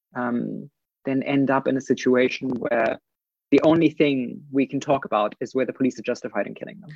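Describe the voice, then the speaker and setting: This man has a German accent and a medium pitch. His loudness swings widely while his pitch varies in an ordinary way. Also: fairly quick pace. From Germany. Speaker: political commentator. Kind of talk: casual chat.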